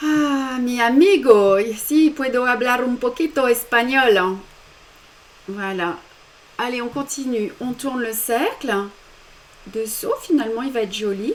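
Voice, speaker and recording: Against noticeable background noise, a woman speaks very slowly at high pitch with ordinary pitch variation and long, frequent pauses. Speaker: embroidery teacher. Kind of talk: tutorial. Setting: live stream.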